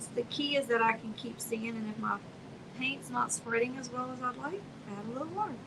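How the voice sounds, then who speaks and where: Amid noticeable background noise, a high-pitched woman talks at a fairly quick pace with ordinary pitch variation and big swings in loudness. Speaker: art studio owner and painting instructor. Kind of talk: live painting stream. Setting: art studio, livestream. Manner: soft-spoken, quiet while painting; casual.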